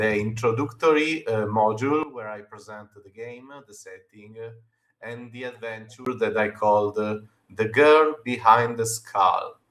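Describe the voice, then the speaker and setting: A man with an Italian accent speaks at a fairly slow pace. His loudness swings widely while his intonation stays fairly even. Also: medium pitch for a man. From Italy. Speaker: game designer. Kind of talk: interview. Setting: live stream. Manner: halting.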